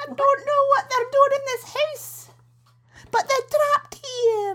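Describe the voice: A woman puts on a character voice in a Scottish accent.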